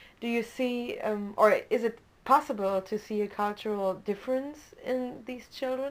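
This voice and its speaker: A woman with a German accent and ordinary pitch variation. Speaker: student interviewer. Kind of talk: interview.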